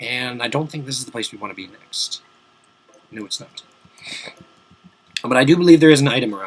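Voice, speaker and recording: Over noticeable background noise, a man talks at a fairly quick pace in a medium pitch. His animated tone sounds strained, with ordinary pitch variation. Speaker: video game let's play commentator. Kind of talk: gameplay commentary. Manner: casual, animated; strained, forced-sounding voice.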